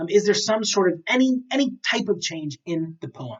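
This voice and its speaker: Lively intonation and an animated tone mark a man's high-pitched voice at a moderate pace. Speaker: teacher. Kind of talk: lecture. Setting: recorded at a computer with a second monitor.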